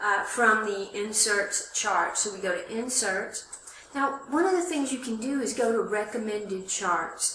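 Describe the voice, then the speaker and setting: Amid noticeable background noise and audible room echo, a woman with a fairly high pitch and ordinary pitch variation speaks at a fairly slow pace. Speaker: college instructor. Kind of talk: tutorial. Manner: loud.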